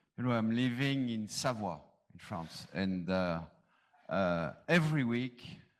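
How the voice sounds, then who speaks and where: In a French accent, the speaker moves at a fairly slow pace with lively intonation. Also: man, medium pitch for a man. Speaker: panelist, manager. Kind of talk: reading aloud; panel discussion. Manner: halting, not fluent.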